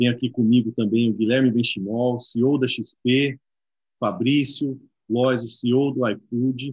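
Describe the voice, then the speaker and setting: Speaking very slowly in a flat monotone at a very even loudness, a man is recorded with a dry sound with no echo against a quiet background. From Brazil. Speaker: panel moderator, exchange director; panel moderator. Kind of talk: live-streamed panel discussion. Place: office. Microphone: video call.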